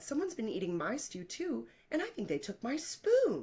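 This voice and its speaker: The speaker uses a put-on character voice with a high pitch. The pace is moderate. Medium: read story.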